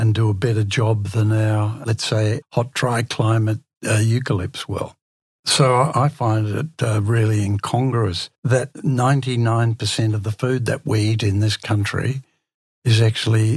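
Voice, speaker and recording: A man with an Australian accent talks at a fairly slow pace and medium pitch. His voice is somewhat breathy, the intonation fairly even. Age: 70s. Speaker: gardening business founder and author. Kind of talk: casual interview chat.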